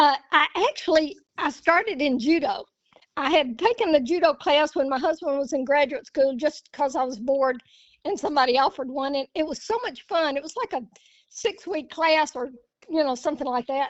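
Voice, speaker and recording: Speaking fairly quickly with lively intonation, a woman talks at a high pitch in an Alabama accent. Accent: Southern US, Alabama. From US South. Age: 70s. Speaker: jiu-jitsu practitioner. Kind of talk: casual chat.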